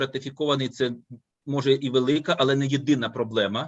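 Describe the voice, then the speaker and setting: A man speaks at a medium pitch in a Ukrainian accent. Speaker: law professor. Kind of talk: academic discussion. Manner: halting.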